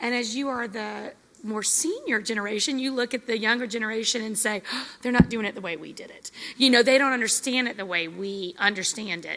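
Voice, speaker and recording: The speaker talks at a fairly quick pace with ordinary pitch variation, and there is noticeable background noise. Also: woman, fairly high pitch for a woman, big swings in loudness. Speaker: military spouse session leader. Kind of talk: group discussion. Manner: loud.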